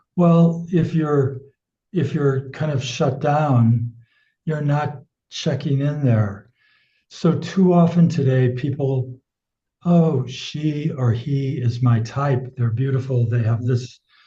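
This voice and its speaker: Very slow speech from a man with an American accent, fairly high in pitch and somewhat breathy, with a dark, mellow tone and ordinary pitch variation. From United States. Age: 70s. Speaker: sex educator. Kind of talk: casual interview.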